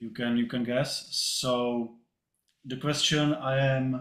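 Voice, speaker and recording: A man of medium pitch speaks very slowly with a non-native accent. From Czech Republic. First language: Czech. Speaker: agency owner asking panel a question. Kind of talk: question at online panel. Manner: halting.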